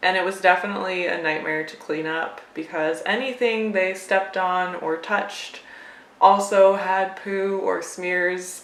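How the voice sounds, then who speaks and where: Fairly even intonation and a fairly slow pace mark a normal speaking voice. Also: woman. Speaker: cat owner and pet vlogger. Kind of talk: casual talk to camera.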